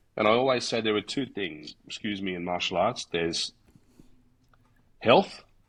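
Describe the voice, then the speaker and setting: With long, frequent pauses, a man speaks at a moderate pace in a fairly low pitch. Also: ordinary pitch variation, quiet background. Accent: Australian. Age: 60s. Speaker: martial arts instructor. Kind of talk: casual chat. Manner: halting, many fillers.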